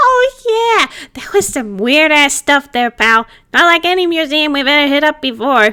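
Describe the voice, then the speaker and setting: A woman puts on a character voice, high-pitched and delivered at a moderate pace. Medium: read story. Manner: cheeky, casual slang.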